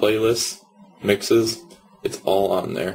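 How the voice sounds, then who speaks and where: Male voice, faint noise behind it. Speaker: church youth educator. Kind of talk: informational video talk.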